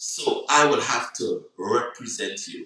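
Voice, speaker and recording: A man speaks with a Guyanese accent. His pace is very slow. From Guyana. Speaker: online talk show host. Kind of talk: reflective monologue on a live broadcast. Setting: live social media broadcast. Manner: hesitant, many fillers.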